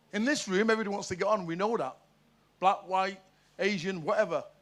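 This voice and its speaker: With music playing behind him, a man delivers his words at a fairly quick pace. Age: 60s. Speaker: audience member. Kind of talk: audience discussion. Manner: animated.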